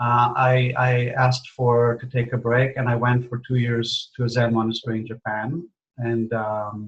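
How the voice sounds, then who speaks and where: A man's medium-pitched voice with an Israeli accent at a fairly slow pace. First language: Hebrew. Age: 60s. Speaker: spiritual teacher. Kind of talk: interview. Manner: halting, many fillers.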